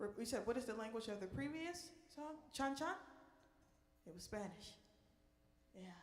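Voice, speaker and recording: At a moderate pace with long, frequent pauses, a woman with a fairly high pitch makes very wide pitch swings and big swings in loudness, with audible room echo. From New Orleans. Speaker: park ranger and jazz singer. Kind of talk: Q and A with live audience. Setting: stage with audience in performance room.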